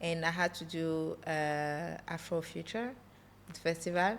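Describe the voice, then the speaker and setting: A woman's fairly low voice in a French accent, with fairly even intonation. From France (Paris), Congolese heritage. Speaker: entrepreneur. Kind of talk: podcast interview. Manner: halting, searches for English words.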